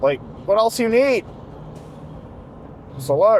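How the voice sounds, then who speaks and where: With noticeable noise in the background, a man speaks at a moderate pace. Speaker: health coach and sales trainer. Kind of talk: casual vlog monologue. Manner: rambling, casual.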